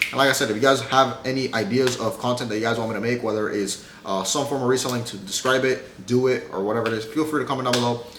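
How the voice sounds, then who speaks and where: A medium-pitched man at a very fast pace with hardly any pauses and fairly even intonation, noticeable background noise behind him. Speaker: YouTuber giving reselling advice. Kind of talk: casual tutorial to camera. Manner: casual, some stumbling.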